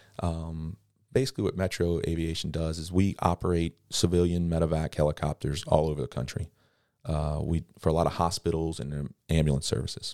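This voice has a dark, mellow tone and a Louisiana accent. It moves at a fairly quick pace with fairly even intonation. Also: man, very deep, low pitch for a man, dry, close sound with no echo, very clean recording, silent background. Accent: Louisiana Southern US. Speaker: helicopter pilot. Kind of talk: casual chat.

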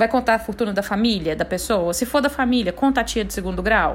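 The speech moves at a very fast pace with an animated tone. Pitch varies in an ordinary way. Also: woman. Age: 30s. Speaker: podcast host, tax specialist. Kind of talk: casual explainer monologue.

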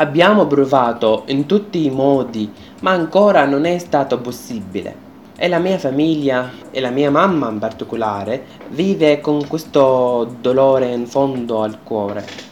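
A man with an Arabic accent, fairly high-pitched, fairly slow, with lively intonation. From Syria, Homs. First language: Arabic (speaking Italian). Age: 20s. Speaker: refugee student and radio presenter. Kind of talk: personal testimony.

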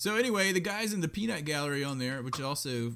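Loudly, a man speaks with very wide swings in pitch. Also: very clean recording, silent background. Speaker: sports podcast co-host. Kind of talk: casual chat. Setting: live streamed podcast.

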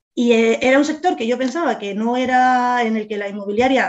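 A woman has an unremarkable speaking voice with ordinary pitch variation. She talks at a moderate pace. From Spain, Madrid. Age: 40s. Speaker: real estate agent and business owner. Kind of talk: interview.

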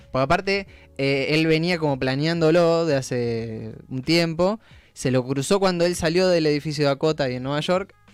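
A man's fairly high-pitched voice, with music in the background. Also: ordinary pitch variation, moderate pace. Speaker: radio host. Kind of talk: casual chat.

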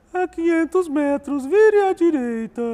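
A put-on character voice pitched extremely high. The pace is fairly slow. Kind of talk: mechanical navigation instruction. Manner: flat, depressed, monotone.

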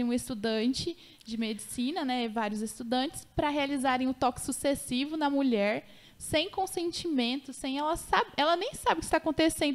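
A woman's high-pitched voice at a moderate pace. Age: 20s. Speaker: lawyer specializing in obstetric violence. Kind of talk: casual interview.

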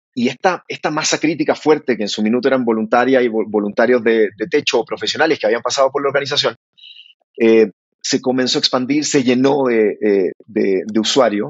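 This is a plain, everyday voice, belonging to a man. Its pitch rises and falls in an ordinary way. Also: medium pitch for a man, fairly quick pace. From Chile, Santiago area. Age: 30s. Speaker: startup founder. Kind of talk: interview.

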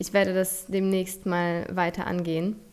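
With a Polish accent, a woman speaks at medium pitch. Her pace is fairly slow. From Poland. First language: Polish (speaking German). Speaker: podcast host and nutrition coach. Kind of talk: motivational monologue. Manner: animated.

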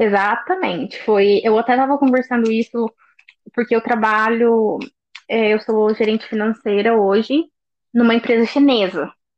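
This woman has a plain, everyday voice, pitched fairly high, with ordinary pitch variation. She keeps a moderate pace and very even loudness. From Brazil, interior of Minas Gerais. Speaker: finance manager, expat. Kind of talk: casual interview chat.

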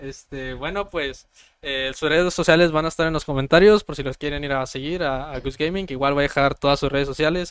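A man talks at a fairly quick pace in a fairly high pitch. His is an unremarkable speaking voice with fairly even intonation. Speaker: podcast host. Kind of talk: casual chat. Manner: casual, slangy.

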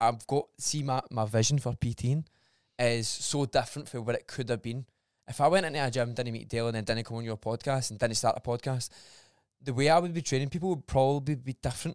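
In a Scottish accent, a man talks at a very fast pace with a medium pitch and ordinary pitch variation, on a very clean recording with a silent background and a dry, close sound with no echo. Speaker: personal trainer. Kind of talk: casual chat.

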